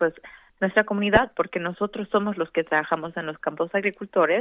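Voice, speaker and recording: The woman has an ordinary speaking voice, medium in pitch, with fairly even intonation. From Mexico, Veracruz and Mexico City. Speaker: elected water board member. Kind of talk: radio interview.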